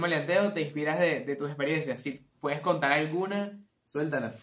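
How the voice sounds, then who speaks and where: The speaker is a man with a Venezuelan accent and a fairly high pitch. He talks at a fairly quick pace with ordinary pitch variation. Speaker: podcast host. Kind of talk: casual chat.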